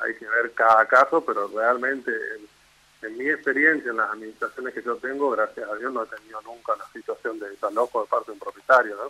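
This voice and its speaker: Recorded with a dry, close sound and no echo, a man talks at a fairly quick pace with big swings in loudness. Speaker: real estate association representative. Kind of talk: radio interview.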